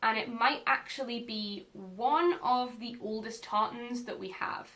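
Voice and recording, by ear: In a north-east English accent, a woman talks at a fairly slow pace with a fairly high pitch. Her pitch variation is ordinary, and the room echo is audible. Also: fairly bright tone. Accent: mild Northumbrian, north-east English.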